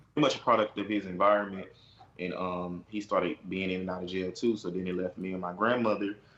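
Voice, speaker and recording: Speaking at a very fast pace, a man with an American accent has a very deep, low pitch and fairly even intonation. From Houston, Texas (north side). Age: 20s. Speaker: reality TV personality. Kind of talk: interview. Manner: hesitant, many fillers.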